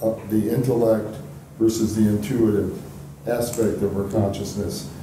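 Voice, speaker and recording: A man of medium pitch talks at a moderate pace with fairly even intonation. Audible room echo and light background noise surround him. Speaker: audience member. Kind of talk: audience discussion. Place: meeting room. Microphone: camera far.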